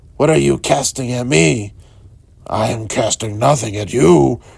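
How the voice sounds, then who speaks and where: Put-on character voice of a man, raspy and mid-pitched, delivered at a moderate pace. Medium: read story. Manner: grumbling, quarrelsome.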